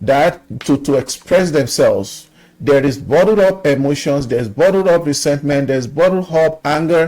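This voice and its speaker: A fairly high-pitched man's voice with a dark, mellow tone, ordinary pitch variation, very even loudness and a moderate pace. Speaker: YouTube commentator. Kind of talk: social commentary monologue.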